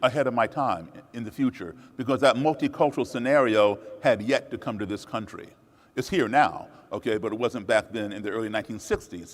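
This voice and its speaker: An ordinary speaking voice from a man, lively in intonation, at a fairly quick pace. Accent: American. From USA, raised partly abroad as embassy child. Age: 60s. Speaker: musician and speaker. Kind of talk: public talk.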